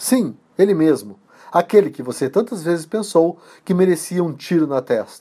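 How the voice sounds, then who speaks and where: This man's dark, mellow tone comes through at a moderate pace. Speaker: podcast co-host and novelist. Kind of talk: casual chat. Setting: Skype call.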